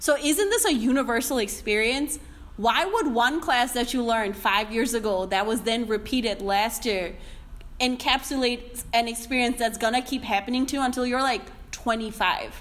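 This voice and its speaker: A woman speaks at a high pitch with ordinary pitch variation. Her pace is moderate, and noticeable background noise is present. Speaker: podcast host. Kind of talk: casual interview discussion.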